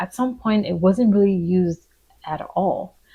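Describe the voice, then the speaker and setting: A woman with an American accent in an ordinary speaking voice, medium pitch and fairly even intonation. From Nigerian American. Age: 30s. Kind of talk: personal reflective talk to camera.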